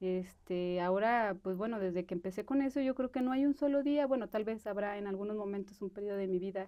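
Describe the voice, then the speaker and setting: A woman talks at a fairly quick pace with hardly any pauses. Her pitch is medium, with ordinary variation. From Mexico, Aguascalientes. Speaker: film director. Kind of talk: interview. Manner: halting, many fillers.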